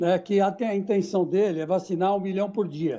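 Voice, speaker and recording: This is a man speaking. His pace is moderate. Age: 60s. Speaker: sports commentator. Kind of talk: panel discussion.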